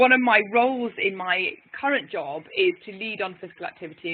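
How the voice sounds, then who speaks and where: In an English accent, a woman speaks with ordinary pitch variation. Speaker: physiotherapist. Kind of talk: webinar presentation. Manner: animated.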